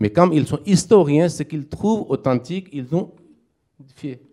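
A man's voice with a dark, mellow tone and ordinary pitch variation. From Pakistan. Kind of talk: interfaith debate. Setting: community hall with live audience.

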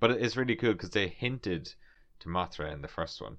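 A man against a quiet background. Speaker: podcast host. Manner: animated, tangent-prone.

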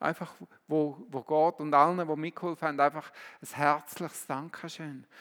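Fairly high-pitched, a man speaks in an animated tone at a fairly slow pace. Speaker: preacher. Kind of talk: sermon in a church service, teaching with direct appeals and closing prayer. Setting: church. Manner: earnest, animated, exhorting.

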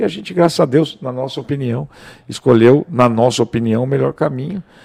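A man's fairly high-pitched voice with a dark, mellow tone, vocal fry and a very fast pace. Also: dry, close sound with no echo. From Brazil, Mato Grosso (Rondonópolis). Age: 40s. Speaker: real estate broker. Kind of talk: casual chat.

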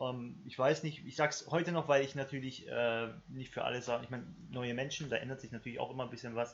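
The speech is somewhat breathy and fairly quick, with hardly any pauses. Intonation stays fairly even while loudness swings a lot. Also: man, medium pitch for a man. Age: about ten years older than co-host. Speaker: podcast co-host. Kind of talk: casual chat.

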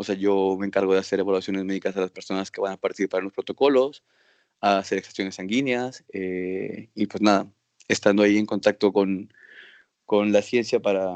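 The speech moves at a moderate pace, with a dry, close sound with no echo and a quiet background. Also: man. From Mexico, Acapulco. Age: 30s. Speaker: physician. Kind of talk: interview. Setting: video call.

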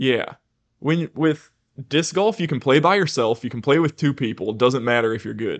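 This man has an ordinary speaking voice, fairly high in pitch. He talks at a moderate pace with lively intonation. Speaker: podcast host. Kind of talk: casual chat.

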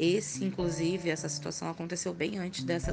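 Recorded with audible room echo, a woman with a fairly low pitch speaks at a moderate pace, with vocal fry. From Rio de Janeiro, Brazil. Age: 30s. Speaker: teacher and makeup artist telling supernatural stories. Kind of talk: personal storytelling.

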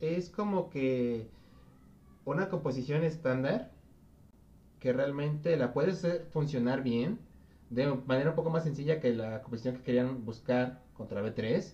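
Pausing long and often, a man with a fairly high pitch talks at a fairly slow pace with ordinary pitch variation. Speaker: esports podcast host. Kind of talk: casual chat. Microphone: voice too quiet.

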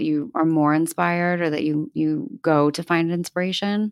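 A woman talks at a moderate pace in a Mid-Atlantic accent on a very clean recording with a silent background. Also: dry, close sound with no echo. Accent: American, Mid-Atlantic. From US Northeast, outside Philadelphia. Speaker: podcast host, interior designer. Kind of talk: interview, casual chat.

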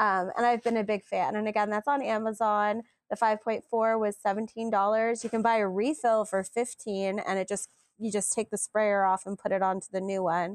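Over a quiet background, a woman with an unremarkable speaking voice talks at a moderate pace with a fairly high pitch and fairly even intonation, in a dry, close sound with no echo. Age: 40s. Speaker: podcast co-host. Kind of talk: casual chat.

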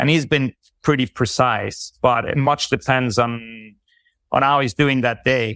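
Recorded with a dry, close sound and no echo, a man speaks at a fairly slow pace with a medium pitch, fairly even intonation, and a bright, sharp tone. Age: 50s. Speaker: human design counselor. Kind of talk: interview. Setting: video call.

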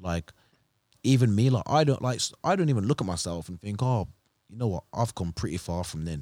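A man's dark, mellow voice at a fairly quick pace, with lively intonation, big swings in loudness, long and frequent pauses, and a dry, close sound with no echo. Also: fairly low pitch for a man. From Birmingham, England. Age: 20s. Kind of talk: casual chat. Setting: studio.

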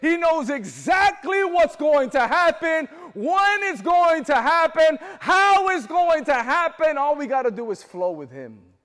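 A man talks in an extremely high voice, animated in tone and lively in intonation, with hardly any pauses. Background noise is noticeable. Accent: American. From Florida. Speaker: preacher. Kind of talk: sermon. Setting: church. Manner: animated, call-and-response, urging the congregation to say amen; rising, fervent preaching cadence.

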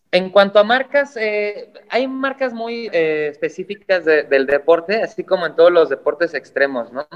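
With music in the background, a man speaks fairly slowly with hardly any pauses, his high pitch making very wide swings. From Mexico. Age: 30s. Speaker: professional climber. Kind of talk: casual chat.

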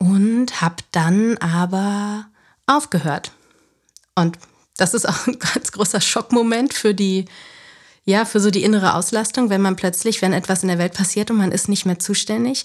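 On a very clean recording with a silent background, a woman at medium pitch speaks at a fairly slow pace with ordinary pitch variation, very even loudness and long, frequent pauses. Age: 30s. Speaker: former news journalist, self-employed media consultant. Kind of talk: podcast interview.

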